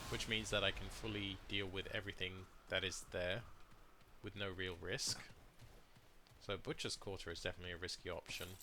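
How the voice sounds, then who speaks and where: With a British accent and a fairly low pitch, a man talks at a fairly quick pace with long, frequent pauses. His tone is bright and sharp, and his intonation is fairly even. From Britain. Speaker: gaming streamer. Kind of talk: gameplay commentary. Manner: casual.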